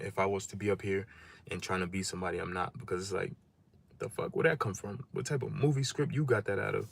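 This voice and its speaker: A man speaks in a somewhat breathy voice on a very clean recording with a silent background. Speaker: livestreamer giving life advice. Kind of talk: casual livestream monologue. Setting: live stream.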